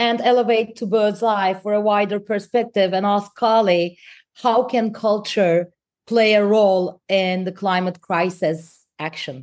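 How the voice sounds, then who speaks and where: An unremarkable speaking voice at a fairly slow pace, ordinary pitch variation, on a very clean recording with a silent background. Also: woman. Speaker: podcast co-host. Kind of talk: interview.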